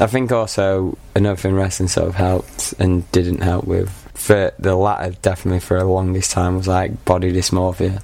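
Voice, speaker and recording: A man with a Mancunian accent speaks in a dark, mellow tone at a very deep, low pitch, with monotone, flat intonation, a moderate pace and hardly any pauses. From Manchester, England. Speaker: media masters student. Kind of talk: casual chat.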